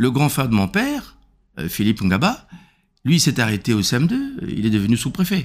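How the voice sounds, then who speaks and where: Very clean and silent in the background, the recording has a man speaking at a moderate pace in a medium pitch, with very even loudness. His pitch swings very widely, and he takes long, frequent pauses. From Republic of the Congo. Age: 60s. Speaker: regional politician. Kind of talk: interview. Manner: halting, with repetitions and fillers.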